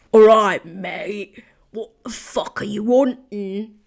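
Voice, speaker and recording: Putting on a character voice in a London accent, a woman speaks very slowly in a raspy, fairly high pitch with fairly even intonation. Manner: aggressive, gruff.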